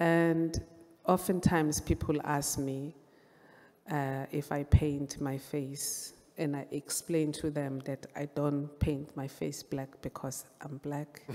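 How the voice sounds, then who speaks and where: A woman with a Zulu accent, very deep and low in pitch, monotone and flat in intonation, at a fairly slow pace, with big swings in loudness. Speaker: visual artist, photographer. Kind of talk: panel presentation.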